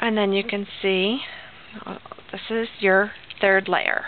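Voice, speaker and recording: Noticeable background noise sits under a woman's voice, which is medium in pitch with fairly even intonation. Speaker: crafter. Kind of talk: tutorial. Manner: casual, hesitant with fillers; fast.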